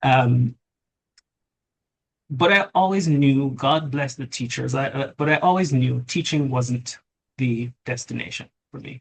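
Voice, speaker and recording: A man speaks slowly, somewhat breathy, at a medium pitch with ordinary pitch variation. His loudness swings widely, and he pauses often and at length. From Jamaica. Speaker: lawyer and tech company CEO. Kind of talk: interview.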